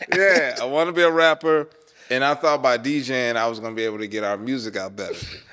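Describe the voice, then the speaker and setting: A man speaks very fast with lively intonation, at a medium pitch and with an American accent. There is noticeable background noise. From North Carolina, Charlotte. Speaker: wedding DJ. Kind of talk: interview. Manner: casual, conversational.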